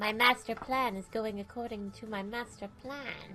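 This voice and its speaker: Over clear music in the background, a woman uses a put-on character voice at a fairly high pitch and a moderate pace. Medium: game stream. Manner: playful, cheeky, attention-seeking.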